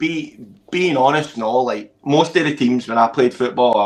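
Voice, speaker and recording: A man with a Scottish accent speaks at a medium pitch. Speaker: amateur football coach. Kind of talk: casual chat. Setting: live stream. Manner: loud; animated.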